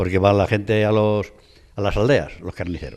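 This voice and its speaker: A man with a very deep, low pitch at a fairly quick pace. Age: 70s. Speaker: craftsman (scale maker). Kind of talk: interview. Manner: halting.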